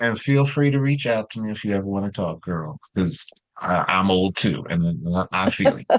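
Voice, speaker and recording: At a moderate pace, a man with a fairly low voice speaks with lively intonation. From Los Angeles, US West Coast. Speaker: continuing education presenter, therapist. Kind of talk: online workshop lecture. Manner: animated.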